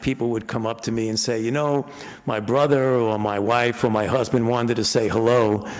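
The speaker is a man with monotone, flat intonation. He moves at a fairly quick pace. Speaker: conference presenter. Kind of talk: speech to conference audience. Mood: warm, humorous. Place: hall. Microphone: podium.

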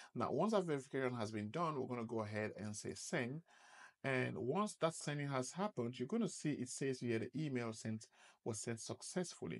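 This man speaks fairly quickly with lively intonation. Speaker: presenter. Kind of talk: tutorial.

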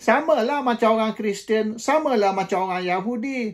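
The speaker talks at a fairly slow pace with ordinary pitch variation over a quiet background. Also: man. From Malaysia. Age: 70s. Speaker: political commentator. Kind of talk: monologue commentary; commentary. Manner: hesitant with frequent fillers; code-switching Malay and English. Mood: dismissive, argumentative. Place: home room. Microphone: phone near.

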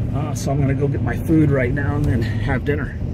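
Noticeable background noise accompanies a man as he speaks. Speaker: box truck driver vlogger. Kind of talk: casual vlog chat. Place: car. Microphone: phone near.

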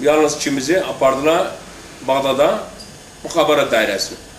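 The pace is moderate. Audible room echo and light background noise can be heard. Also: man. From Iraq, Kirkuk area (Turkmen); Iraq. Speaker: former political prisoner. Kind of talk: testimony. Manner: halting. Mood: calm, somber. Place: garden.

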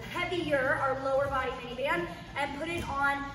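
Projecting a raised voice with ordinary pitch variation, a woman is heard with audible room echo and light background noise. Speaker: fitness instructor. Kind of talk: workout class instruction. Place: gym.

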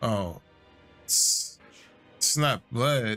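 Ordinary pitch variation over faint background music. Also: man. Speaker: streamer. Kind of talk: reaction commentary. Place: home room.

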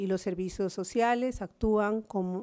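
The background stays quiet. Against it, a woman's voice carries a dark, mellow tone. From Peru. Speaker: social worker and activist; speaker. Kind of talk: conference talk. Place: hall. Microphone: podium.

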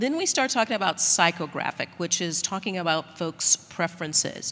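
This is a woman speaking. Her pitch is fairly low. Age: 60s. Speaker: sports league executive; panelist. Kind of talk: panel discussion. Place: hall.

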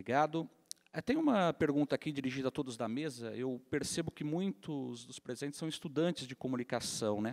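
The speaker has a plain, everyday voice with ordinary pitch variation and a moderate pace. The background is quiet. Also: man. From Brazil. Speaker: newspaper editor, panel moderator. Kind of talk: panel moderation. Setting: stage with audience. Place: stage. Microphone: handheld.

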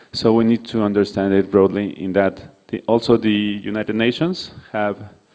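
Using a non-native accent, a man with a dark, mellow tone and fairly low pitch speaks at a moderate pace with fairly even intonation. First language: not English. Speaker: conference speaker on violence prevention; presenter. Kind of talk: conference presentation. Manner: halting, many fillers. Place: hall. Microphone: podium.

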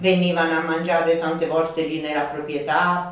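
Strong room echo surrounds a woman with a low pitch. She talks at a fairly slow pace, and her pitch moves very little.

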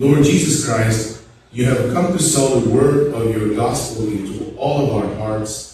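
A man speaks at a fairly slow pace over light background noise, with strong room echo. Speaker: priest leading Mass. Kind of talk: liturgical prayer. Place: church.

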